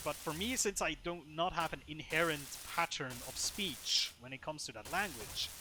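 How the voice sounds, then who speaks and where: A man with a non-native accent has a bright, sharp tone. His pitch is fairly high and his pace is moderate. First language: not English. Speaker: gaming streamer. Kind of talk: casual gameplay commentary.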